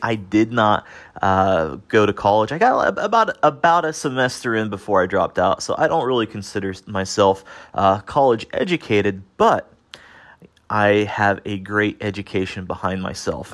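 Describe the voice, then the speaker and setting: In a very clean recording with a silent background, a man talks in an animated tone, his fairly low pitch showing ordinary pitch variation. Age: 30s. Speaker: self-help podcast host. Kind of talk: motivational monologue.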